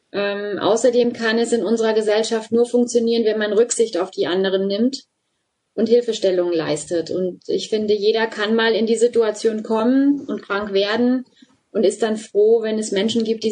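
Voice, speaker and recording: A woman has a normal speaking voice with ordinary pitch variation. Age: 40s. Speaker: volunteer group leader. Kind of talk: interview.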